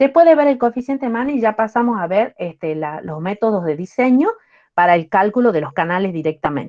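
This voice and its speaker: Her voice has a dark, mellow tone, and this woman speaks at a fairly high pitch with very wide pitch swings. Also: fairly quick pace, quiet background. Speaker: university lecturer. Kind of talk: lecture.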